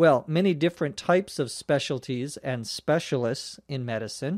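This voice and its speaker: A man with a Minnesota accent speaks at a fairly slow pace in a fairly high voice for a man, his pitch varying in an ordinary way, on a very clean recording with a silent background. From Minnesota, US. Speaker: English teacher, podcast host. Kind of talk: language lesson podcast. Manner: slow, clear explanatory.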